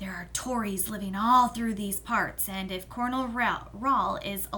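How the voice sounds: The text is read in a natural reading voice.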